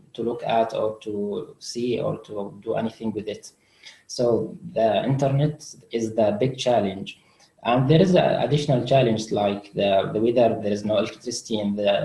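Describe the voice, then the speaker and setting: With an Arabic accent, a man speaks at a moderate pace in a medium pitch. His dark, mellow tone is somewhat breathy, with ordinary pitch variation. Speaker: refugee student. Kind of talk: webinar interview. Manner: halting.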